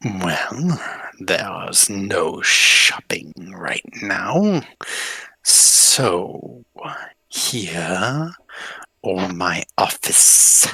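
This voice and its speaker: A man's put-on character voice, fairly low in pitch, at a very slow pace with long, frequent pauses. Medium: actual play. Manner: terse, clipped.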